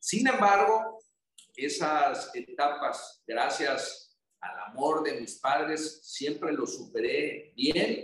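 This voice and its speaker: A man speaks at a very slow pace with a Tabasco accent. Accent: Tabasco accent, noticeable. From Mexico, Tabasco. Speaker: federal congressman. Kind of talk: interview. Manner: reflective.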